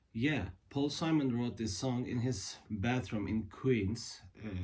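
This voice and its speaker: A man speaks at a very slow pace with a Turkish accent and ordinary pitch variation. His tone is dark and mellow, and somewhat breathy. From Turkey. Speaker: guitarist and music video creator. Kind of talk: casual talk to camera about music history. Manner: halting, many fillers.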